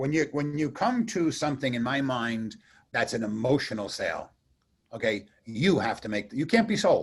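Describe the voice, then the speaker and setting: Somewhat breathy, a man speaks at a fairly high pitch with very wide pitch swings. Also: moderate pace. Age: 60s. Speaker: radio host. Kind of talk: casual chat.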